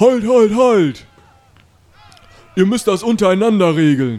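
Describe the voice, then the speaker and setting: Over faint background music, a man uses a put-on character voice, high in pitch and at a fairly slow pace. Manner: commanding, halting the others.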